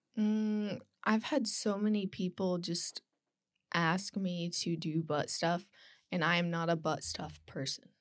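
A plain, everyday voice: a woman at a fairly slow pace, fairly low in pitch with ordinary pitch variation, on a very clean recording with a silent background. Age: 20s. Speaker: online adult content creator and student. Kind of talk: casual chat.

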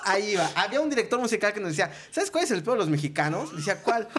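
Here a man's pitch swings very widely. There is noticeable background noise. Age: 30s. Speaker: entertainment producer. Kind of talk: casual chat.

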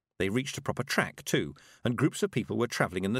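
Ordinary pitch variation runs through this natural reading voice.

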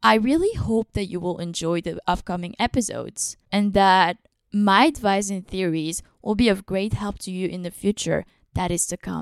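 A woman at medium pitch and moderate pace, an ordinary speaking voice with ordinary pitch variation, in a very clean recording with a silent background and a dry, close sound with no echo. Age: 20s. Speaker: podcast host, filmmaking student. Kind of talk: scripted podcast introduction.

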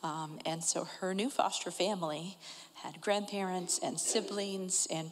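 With fairly even intonation, a woman talks in an unremarkable speaking voice at a fairly low pitch. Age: 40s. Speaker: adoptive mother. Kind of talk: testimony.

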